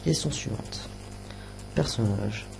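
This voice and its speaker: Music plays in the background as a man speaks at a fairly slow pace, with audible room echo. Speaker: youtuber. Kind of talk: casual chat. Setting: live stream. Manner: soft-spoken; halting. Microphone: quiet, adjusted level.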